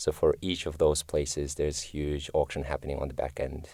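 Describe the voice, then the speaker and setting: A man with a Kyrgyz accent talks at a moderate pace. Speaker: machine learning engineer. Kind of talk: interview. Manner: hesitant, many fillers.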